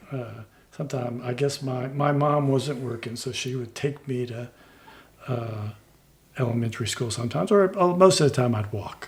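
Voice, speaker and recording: Amid noticeable background noise, a man with an American accent talks at a moderate pace in a medium pitch with ordinary pitch variation. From Texas, Houston. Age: 60s. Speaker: former municipal judge and attorney. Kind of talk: interview conversation. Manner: halting.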